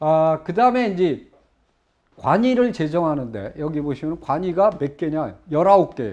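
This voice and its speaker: Over a quiet background, a man speaks at a fairly slow pace with a fairly high pitch and very wide pitch swings. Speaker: history lecturer. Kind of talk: lecture. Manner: animated. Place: studio.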